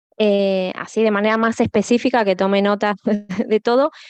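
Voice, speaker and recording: A woman with an Argentine accent talks at a moderate pace. The sound is dry and close, with no echo. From Argentina. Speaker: academic audience member. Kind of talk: audience question. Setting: conference with audience. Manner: hesitant, many fillers.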